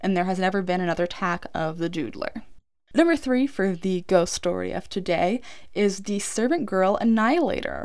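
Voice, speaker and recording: This woman's pitch is medium and her intonation lively. She speaks at a moderate pace. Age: 20s. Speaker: true crime podcaster. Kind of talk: casual storytelling monologue. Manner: low energy.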